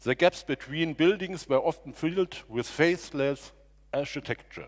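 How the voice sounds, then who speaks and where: Heard in a very clean recording with a silent background, a man speaks with a German accent. His pitch is fairly high, his intonation lively and his pace fairly slow. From Germany. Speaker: district mayor. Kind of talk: speech. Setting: stage with audience. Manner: halting.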